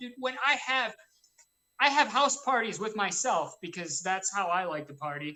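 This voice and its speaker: With very wide pitch swings, a woman speaks at medium pitch and a moderate pace in a bright, sharp tone. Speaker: radio show host. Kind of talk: casual chat. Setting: at home. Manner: loud.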